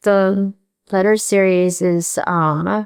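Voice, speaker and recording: Speaking with a Korean accent, a woman keeps fairly even intonation at a medium pitch. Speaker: painter. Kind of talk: interview. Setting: art gallery. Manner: hesitant, many fillers.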